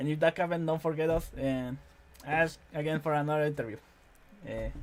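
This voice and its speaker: A fairly high-pitched man with a Spanish accent speaks at a fairly quick pace with monotone, flat intonation. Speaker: interviewer. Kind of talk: interview. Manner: halting.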